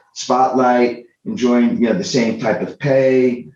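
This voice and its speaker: Audible room echo surrounds a man's dark, mellow voice, medium in pitch and moderate in pace. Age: 60s. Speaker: convention organizer and CEO. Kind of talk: podcast interview. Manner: halting, many repetitions.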